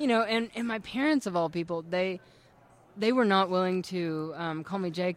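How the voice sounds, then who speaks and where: She has a normal speaking voice, a woman at medium pitch with ordinary pitch variation. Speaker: testimony speaker. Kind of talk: testimony.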